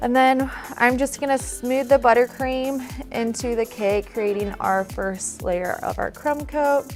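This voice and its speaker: A woman speaks in a high voice while music plays in the background. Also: ordinary pitch variation. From US Midwest. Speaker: cake decorator. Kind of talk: cake decorating tutorial narration.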